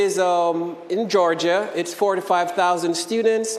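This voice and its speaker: Noticeable background noise and audible room echo surround a man speaking with a Jamaican accent at a high pitch. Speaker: professor. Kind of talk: lecture. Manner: hesitant, many fillers.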